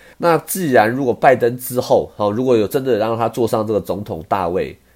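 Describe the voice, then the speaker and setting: With lively intonation and a moderate pace, a man talks in a normal speaking voice. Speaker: podcast host, stock commentator. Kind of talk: casual monologue.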